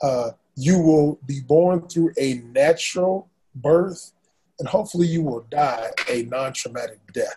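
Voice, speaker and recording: Somewhat breathy and dark, mellow in tone, a man talks with an American accent and ordinary pitch variation. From US South, Raleigh, North Carolina. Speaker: pastor and estate attorney. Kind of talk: interview explaining legal topics.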